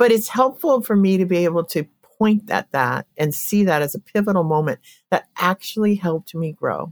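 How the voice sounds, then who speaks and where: Lively intonation marks this woman's unremarkable speaking voice, delivered at a moderate pace. The sound is dry and close, with no echo. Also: medium pitch for a woman. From Colorado. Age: 60s. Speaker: therapist. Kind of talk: interview conversation.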